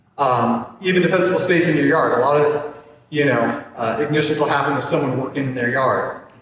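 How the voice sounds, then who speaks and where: Against audible room echo and noticeable background noise, a man speaks at a fairly high pitch with ordinary pitch variation. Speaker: forester. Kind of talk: community presentation.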